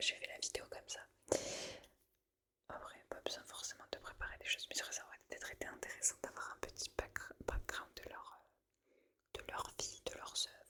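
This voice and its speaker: In a whisper, a woman talks at a fairly slow pace. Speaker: ASMR creator. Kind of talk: casual talk to camera. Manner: whispered.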